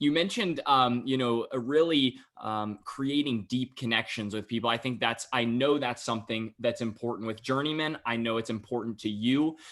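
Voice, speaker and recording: A man with an American accent speaks in an unremarkable speaking voice at a medium pitch and a moderate pace. His pitch varies in an ordinary way, and he leaves hardly any pauses. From US South, Raleigh area, North Carolina. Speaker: podcast host. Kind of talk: podcast interview.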